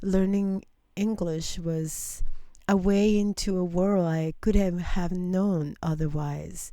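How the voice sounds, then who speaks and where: Speaking very slowly with a non-native accent, a woman has a dark, mellow tone at medium pitch. Her intonation is fairly even, and audible room echo is present. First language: not English. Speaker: radio host. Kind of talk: interview. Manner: halting.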